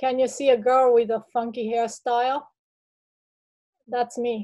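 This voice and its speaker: A woman's high, dark and mellow voice in a Japanese accent, with monotone, flat intonation. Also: fairly slow pace. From Japan, small village. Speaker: artist. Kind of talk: artist talk presentation. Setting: video call. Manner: halting.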